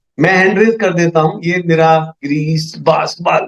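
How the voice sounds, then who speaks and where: The man's voice sits at a high pitch. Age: 60s. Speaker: network marketing leader. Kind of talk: business presentation. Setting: video call. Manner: animated.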